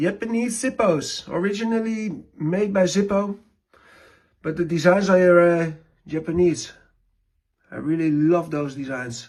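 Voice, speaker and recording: This voice has a non-native accent and ordinary pitch variation. It moves at a fairly slow pace with long, frequent pauses. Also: man, high pitch for a man. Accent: non-native English speaker. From Netherlands. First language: Dutch. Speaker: lighter collector and maker. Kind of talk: collection show-and-tell. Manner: halting, many fillers.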